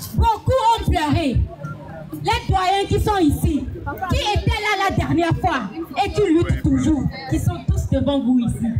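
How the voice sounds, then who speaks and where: Speaking very slowly with long, frequent pauses, a woman is heard over background music in a room with audible echo. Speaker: activist speaker. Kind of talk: rally speech. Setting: outdoor demonstration. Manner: impassioned.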